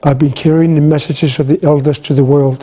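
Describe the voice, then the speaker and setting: A man speaks at a moderate pace and fairly high pitch. His intonation is monotone and flat, his tone dark and mellow. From Greenland. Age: 60s. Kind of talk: talk.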